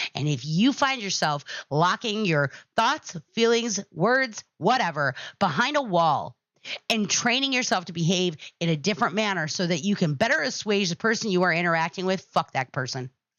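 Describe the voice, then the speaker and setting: Loud and animated, a woman speaks at a medium pitch with very wide pitch swings. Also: moderate pace. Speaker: podcast host. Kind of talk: casual monologue to live chat.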